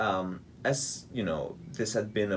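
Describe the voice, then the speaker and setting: A man with a Georgian accent talks at a very slow pace. Vocal fry runs through his voice. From Hungary, Budapest. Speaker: pianist and composer. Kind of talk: radio interview.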